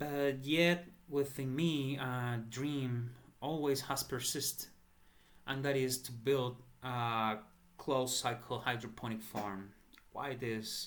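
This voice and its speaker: A man with a Spanish accent, medium pitch, fairly even intonation and a very slow pace. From El Salvador. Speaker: entrepreneur seeking crowdfunding. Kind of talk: personal appeal. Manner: halting.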